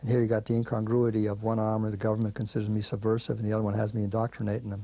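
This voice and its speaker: Very fast and monotone, a man talks in an American accent with flat intonation. His tone is dark and mellow, his pitch fairly low. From Belgium, then New York from age 13. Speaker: animal rights activist. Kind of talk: interview testimony.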